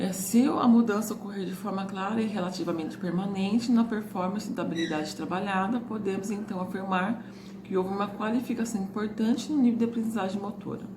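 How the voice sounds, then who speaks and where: A woman with a medium pitch speaks at a fairly quick pace with fairly even intonation and hardly any pauses. Audible room echo and noticeable background noise are present. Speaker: teacher running an extension course. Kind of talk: recorded lecture, partly reading from a book. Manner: fast, words run together; reading aloud lists from a book.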